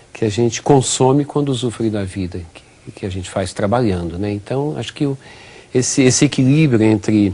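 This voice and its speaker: Male voice of medium pitch at a moderate pace, with ordinary pitch variation, big swings in loudness and noticeable background noise. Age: 60s. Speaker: physical education professor. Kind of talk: TV interview. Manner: halting, many repetitions.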